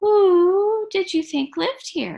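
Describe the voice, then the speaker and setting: A woman's loud, squeaky put-on character voice at an extremely high pitch. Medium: read story. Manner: hooting, loud.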